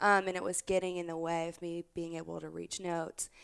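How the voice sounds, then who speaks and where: At a fairly quick pace, the speaker keeps a relaxed tone and monotone, flat intonation on a very clean recording with a silent background. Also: woman. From South Louisiana. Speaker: country singer-songwriter and former rodeo competitor. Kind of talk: casual interview chat. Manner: conversational, relaxed, laughs often.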